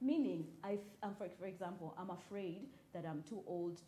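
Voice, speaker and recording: A woman's fairly low voice carries audible room echo. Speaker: writer and storyteller. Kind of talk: talk show interview. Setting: live broadcast and Twitter space.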